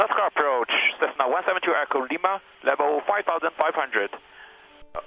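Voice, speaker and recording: A man talks at a fairly quick pace with lively intonation, music playing in the background. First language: not English. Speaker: student pilot. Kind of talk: radio communication. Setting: aircraft cockpit radio.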